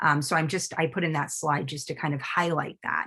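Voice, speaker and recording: A woman speaks at a fairly quick pace in a somewhat breathy voice, on a very clean recording with a silent background. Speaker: neurologist. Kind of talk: lecture. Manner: fast; animated.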